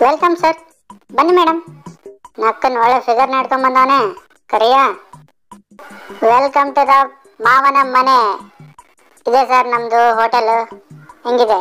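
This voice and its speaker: A female-sounding voice uses a put-on character voice with a high pitch for a woman, at a fairly slow pace. Faint music plays in the background. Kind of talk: comedy spoof dialogue. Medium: dub.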